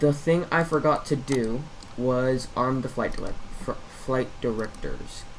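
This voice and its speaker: The man's voice has a medium pitch and fairly even intonation. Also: fairly slow pace. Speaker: flight simulator streamer. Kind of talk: gameplay tutorial commentary. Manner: casual, hesitant with fillers.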